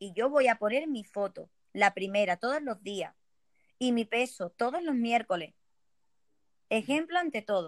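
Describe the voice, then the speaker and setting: Recorded very cleanly against a silent background, with a dry, close sound and no echo, the speaker moves at a fairly slow pace with lively intonation and long, frequent pauses. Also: woman, fairly high pitch for a woman. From Spain, Ceuta. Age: 30s. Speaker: network marketing entrepreneur. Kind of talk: interview.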